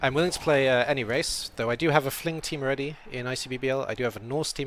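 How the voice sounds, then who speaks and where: This man speaks at a very fast pace. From Wales. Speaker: game streamer and language tutor. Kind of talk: casual live-stream commentary. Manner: hesitant, lots of fillers.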